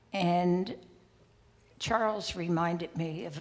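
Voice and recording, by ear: A woman talks with a low pitch and audible vocal fry.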